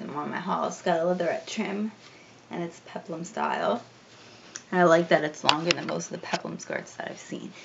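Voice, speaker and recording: Noticeable background noise sits behind a woman with an American accent. She talks at a fairly quick pace with a fairly low pitch. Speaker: fashion vlogger. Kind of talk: casual chat. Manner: casual, hesitant with fillers.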